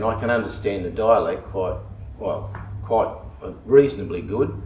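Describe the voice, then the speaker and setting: A man's fairly low voice in fairly even intonation, with audible room echo and noticeable background noise. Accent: Australian. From Western Australia, Perth. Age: 70s. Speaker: local resident. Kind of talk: interview. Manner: halting.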